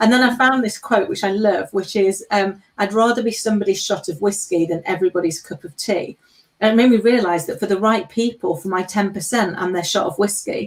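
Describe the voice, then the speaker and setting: Someone speaks at a fairly quick pace with an English accent. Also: woman, medium pitch for a woman, ordinary pitch variation, hardly any pauses. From England. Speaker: panel co-host. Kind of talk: live panel discussion.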